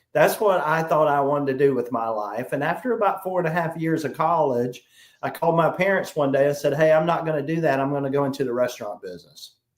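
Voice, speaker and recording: With a South Carolina accent, a man talks at a very fast pace in a fairly high voice with ordinary pitch variation. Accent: Southern US, South Carolina. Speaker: sales trainer. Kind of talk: interview.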